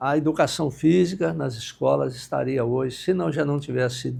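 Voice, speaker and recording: A somewhat breathy man is speaking. He keeps a moderate pace and ordinary pitch variation. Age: 70s. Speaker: university professor, former director. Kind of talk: podcast interview.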